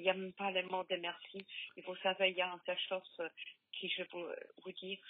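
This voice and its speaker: A woman speaks in a medium pitch at a moderate pace. Her intonation is monotone and flat. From Poland. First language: Polish (speaking French). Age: 50s. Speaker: bereaved mother. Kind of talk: testimony. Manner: halting.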